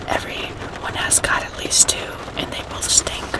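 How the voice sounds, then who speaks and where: Whispering at a fairly slow pace, a woman with an American accent is heard over noticeable background noise. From Arkansas, USA. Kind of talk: ASMR whispered reading. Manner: whispered, soft.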